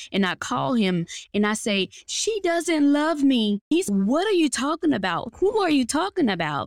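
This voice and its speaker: On a very clean recording with a silent background and a dry, close sound with no echo, a voice with a Southern US accent makes very wide pitch swings at a moderate pace. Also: woman. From US South, Mississippi Delta. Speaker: healing coach and speaker. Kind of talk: testimony.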